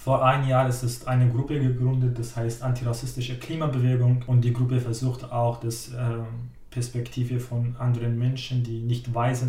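A man at medium pitch is heard with audible room echo and noticeable background noise. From Syria. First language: Arabic (speaking German). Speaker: climate activist, trainee educator. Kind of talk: interview.

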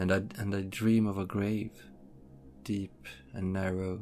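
A man mumbles in a put-on character voice, fairly low and flat in a monotone. Background noise is clearly audible. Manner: sleepy, mumbling.

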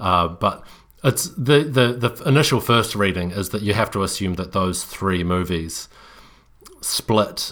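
In a New Zealand accent, a man talks with a very deep, low pitch, a bright, sharp tone and ordinary pitch variation. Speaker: podcast co-host. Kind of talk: casual chat. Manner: halting, frequent repetitions.

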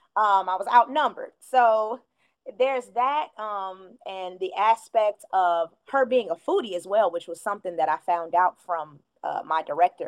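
With a dry, close sound and no echo, a woman at a medium pitch talks at a moderate pace with lively intonation. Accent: American. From Chicago, US Midwest. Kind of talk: casual interview chat. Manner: friendly, laughs often.

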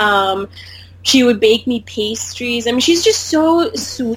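A woman speaks in an ordinary speaking voice. Her pitch is fairly high and her pace is fairly slow. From US (born in India, moved as a child). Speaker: podcast guest, former study-abroad student. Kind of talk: casual chat.

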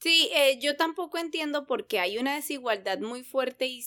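This very clean recording has a silent background. A woman speaks at a fairly slow pace. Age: 30s. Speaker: podcast co-host. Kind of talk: casual chat.

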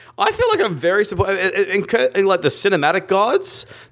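A man speaks with an Australian accent. The recording is very clean and the background silent. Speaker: film podcast host. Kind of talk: casual chat.

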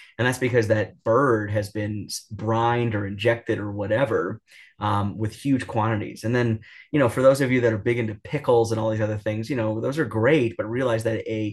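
Somewhat breathy, a man speaks with an American accent at a fairly quick pace. His medium pitch holds fairly even intonation over a quiet background. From New York. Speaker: cardiologist. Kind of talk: interview. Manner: filler-heavy, many ums and restarts.

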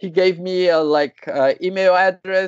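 A man speaks with a high pitch. His pace is fairly slow. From Brazil. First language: Portuguese. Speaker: cannabis entrepreneur. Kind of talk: casual interview. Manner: halting, hesitant.

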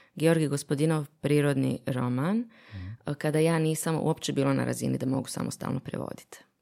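At a fairly quick pace with hardly any pauses, a woman speaks in a very deep, low pitch with a dark, mellow tone and ordinary pitch variation. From Bosnia. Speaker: literary translator. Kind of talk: casual chat.

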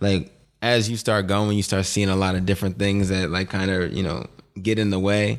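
A man's fairly low voice with an American accent at a fairly quick pace, an unremarkable speaking voice, on a very clean recording with a silent background. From Boston, Dorchester. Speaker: apparel company co-founder. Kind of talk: casual interview chat.

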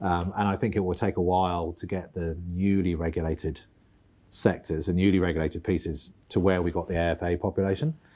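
Dark and mellow in tone, this voice has a British accent and moves at a fairly quick pace with monotone, flat intonation. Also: man, very deep, low pitch for a man. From United Kingdom. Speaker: outgoing financial regulator chief executive. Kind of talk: interview. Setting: boardroom.

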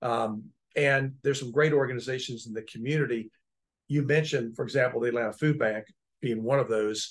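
A man has an unremarkable speaking voice at medium pitch. He talks at a fairly quick pace with fairly even intonation, against a quiet background. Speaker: podcast host and technology lawyer. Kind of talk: casual interview chat.

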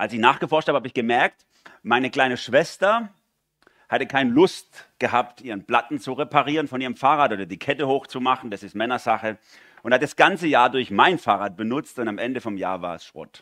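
The tone is bright and sharp, with ordinary pitch variation at a fairly quick pace. The recording is very clean, with a silent background. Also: man, medium pitch for a man, big swings in loudness. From Swabia, southwest Germany. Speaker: guest preacher. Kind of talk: sermon.

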